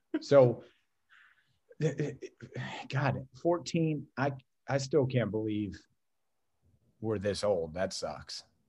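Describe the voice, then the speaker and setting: Speaking with an Ohio accent, a man has a medium pitch and a dark, mellow tone that is somewhat breathy. He goes at a very slow pace with long, frequent pauses. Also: lively intonation. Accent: Midwestern American (Ohio). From northeast Ohio, Youngstown. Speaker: music fan, longtime friend of host. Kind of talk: casual chat. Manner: halting, frequent repetitions.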